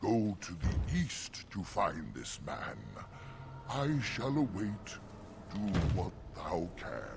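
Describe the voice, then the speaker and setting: In a put-on character voice, a man speaks at a very slow pace with long, frequent pauses and fairly low pitch, over clear background noise. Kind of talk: archaic rhyming verse. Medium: video game. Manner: slow, solemn, archaic.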